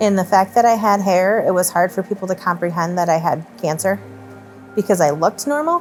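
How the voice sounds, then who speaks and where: With music in the background, a woman talks at a fairly quick pace and medium pitch, keeping very even loudness and ordinary pitch variation. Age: 30s. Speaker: cancer patient. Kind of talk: interview answer.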